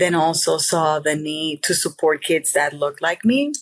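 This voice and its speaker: A woman speaks at a fairly slow pace with a very deep, low pitch. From Puerto Rico. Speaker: school district director. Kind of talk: podcast interview.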